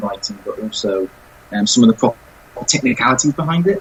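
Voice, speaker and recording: A man with a southern English accent, ordinary pitch variation, and noticeable background noise. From England, not the north. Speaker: self-published author. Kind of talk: podcast interview.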